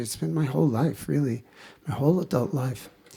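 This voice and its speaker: The man's voice is somewhat breathy, his intonation lively. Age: 70s. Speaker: kirtan singer and retreat leader. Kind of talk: spiritual talk. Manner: halting.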